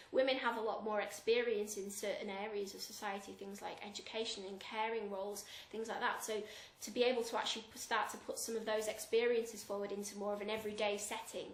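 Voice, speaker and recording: Against noticeable background noise, a woman talks very fast at a fairly high pitch with monotone, flat intonation. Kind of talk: interview answer.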